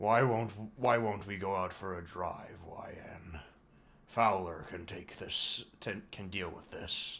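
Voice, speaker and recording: This man puts on a raspy character voice at a fairly low pitch. He speaks at a fairly slow pace. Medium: read story.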